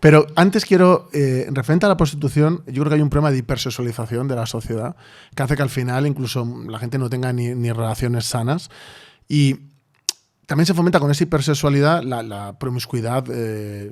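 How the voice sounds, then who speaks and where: A man with an unremarkable speaking voice talks fairly quickly at a medium pitch, with ordinary pitch variation. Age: 30s. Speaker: podcast host and novelist. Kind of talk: casual interview conversation.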